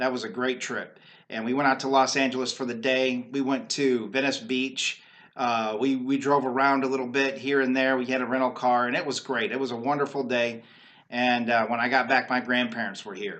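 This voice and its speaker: Here a man talks at a fairly quick pace. His medium-pitched voice has monotone, flat intonation. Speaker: video blogger. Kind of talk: casual monologue. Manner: halting, with fillers.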